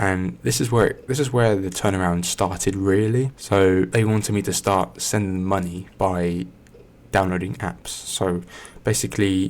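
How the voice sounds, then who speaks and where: Soft-spoken, a man with a very deep, low pitch talks at a fairly slow pace with lively intonation. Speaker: ASMR creator. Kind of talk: casual talk to camera.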